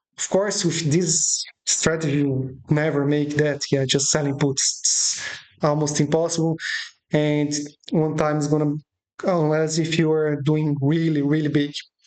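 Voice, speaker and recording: A dark, mellow tone in a monotone, flat delivery, fairly slow, with a non-native accent. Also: woman. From Brazil. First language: Portuguese. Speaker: options trading educator. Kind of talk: tutorial. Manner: halting.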